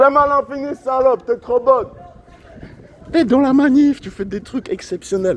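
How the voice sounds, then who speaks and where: Over noticeable background noise, a man with an extremely high pitch speaks at a moderate pace with lively intonation. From Switzerland, Lausanne. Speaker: animal rights activist. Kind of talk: street protest monologue. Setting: outdoors on street. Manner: loud, shouting slogans; casual slangy chatter.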